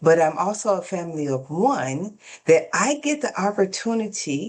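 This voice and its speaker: This woman has a normal speaking voice, medium in pitch, at a moderate pace. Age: 50s. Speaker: podcast host and coach. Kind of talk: casual interview chat.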